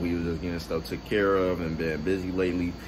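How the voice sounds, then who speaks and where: Flat, monotone intonation carries a fairly quick delivery with noticeable background noise behind it. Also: man. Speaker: vlogger. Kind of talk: casual vlog chat. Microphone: phone near.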